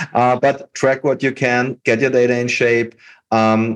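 Against a quiet background, a man talks with a German accent. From Austria. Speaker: podcast host. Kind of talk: interview.

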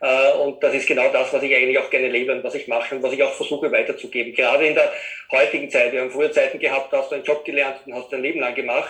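Very fast talking from a man amid noticeable background noise. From Austria, Vienna area. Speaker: web designer. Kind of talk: interview conversation.

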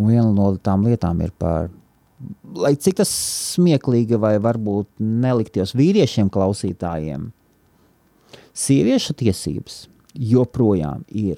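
A man's dark, mellow, fairly low-pitched voice with lively intonation, dry and close with no echo, on a very clean recording with a silent background. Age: 40s. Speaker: podcast host. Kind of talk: solo monologue. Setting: office.

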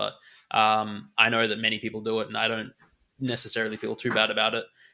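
On a very clean recording with a silent background, a man with a medium pitch and a bright, sharp tone talks at a fairly quick pace. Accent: Australian. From Australia. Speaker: NFT trader and former poker player. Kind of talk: casual interview.

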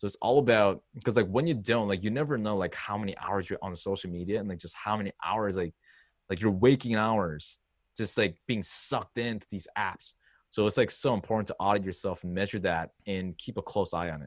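A man with a Korean accent, fairly low in pitch with ordinary variation, at a fairly quick pace, in a very clean recording with a silent background. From South Korea, moved to upstate New York at 12. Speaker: social confidence coach. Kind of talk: casual interview chat. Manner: animated, filler-heavy.

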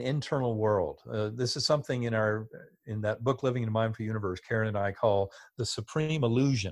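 At a fairly quick pace, an ordinary speaking voice comes through over a quiet background. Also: man. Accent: American. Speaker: neurosurgeon and author. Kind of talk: interview.

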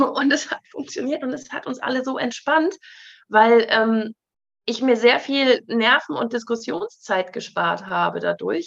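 A woman with a high voice talks fairly slowly, her intonation lively. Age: 30s. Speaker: author and presenter. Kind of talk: interview.

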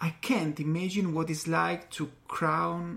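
Speaking at a very slow pace, a man with a fairly high pitch and an Italian accent keeps his intonation fairly even. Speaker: podcast host. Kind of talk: interview; scripted narration.

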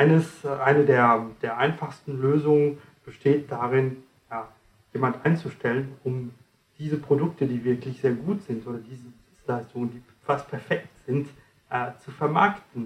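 Somewhat breathy, a man talks at a fairly slow pace with fairly even intonation, long, frequent pauses and big swings in loudness. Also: fairly high pitch for a man. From France. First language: French (speaking German). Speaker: communication trainer and author. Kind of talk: interview, explaining coaching methods.

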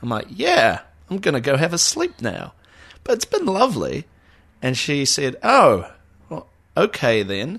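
With a New Zealand accent, a man speaks at a fairly slow pace, leaving long, frequent pauses. His voice shows vocal fry and very wide pitch swings. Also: fairly high pitch for a man. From New Zealand, Auckland. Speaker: podcast co-host. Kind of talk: casual chat.

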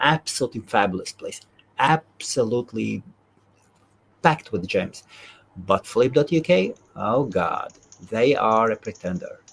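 A man at a medium pitch, lively in intonation, at a fairly slow pace with long, frequent pauses, in a dry, close sound with no echo. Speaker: event organizer and host.

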